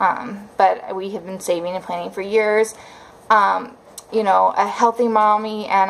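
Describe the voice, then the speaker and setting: There is noticeable background noise as a woman speaks at a fairly slow pace. Her voice is medium in pitch with fairly even intonation. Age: 30s. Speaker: vlogger. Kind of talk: casual vlog monologue. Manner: hesitant, many fillers.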